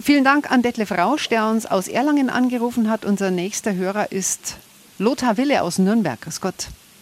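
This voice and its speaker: Ordinary pitch variation and a moderate pace in a woman's fairly high voice. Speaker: radio host. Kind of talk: call-in radio discussion. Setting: radio studio. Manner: brisk pace.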